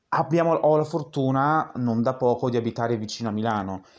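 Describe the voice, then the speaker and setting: Over a quiet background, a man at medium pitch speaks at a fairly quick pace in an ordinary speaking voice. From Lombardy, Italy. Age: 20s. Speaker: drag performer and student. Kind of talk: interview.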